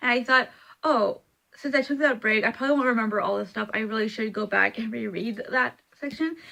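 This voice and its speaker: A woman's high-pitched voice has a bright, sharp tone. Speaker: book vlogger. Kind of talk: casual vlog. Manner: halting, stumbling over words.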